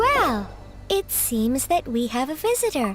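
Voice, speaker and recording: A female-sounding, put-on character voice at a fairly slow pace over clear music in the background. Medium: video game. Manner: polite, formal.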